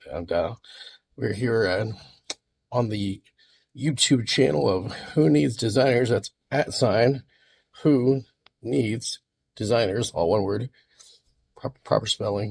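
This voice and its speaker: The voice has vocal fry and long, frequent pauses. The sound is dry and close, with no echo. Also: man, medium pitch for a man, ordinary pitch variation, fairly slow pace. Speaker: content creator. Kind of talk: casual vlog. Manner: halting.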